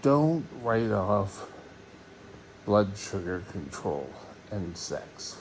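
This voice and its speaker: At a very slow pace with long, frequent pauses, the voice has lively intonation and audible room echo. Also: man, fairly low pitch for a man. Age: 60s. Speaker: diabetes vlogger. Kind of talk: casual vlog monologue.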